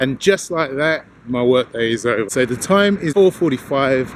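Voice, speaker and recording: Noticeable background noise sits under a man of medium pitch who talks with lively intonation in a British accent. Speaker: fitness vlogger. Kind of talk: casual vlog. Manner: fast.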